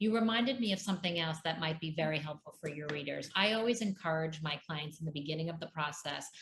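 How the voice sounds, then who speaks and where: Very fast, with hardly any pauses, a woman's very deep, low voice with ordinary pitch variation against noticeable background noise. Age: 50s. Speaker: divorce coach. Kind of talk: interview.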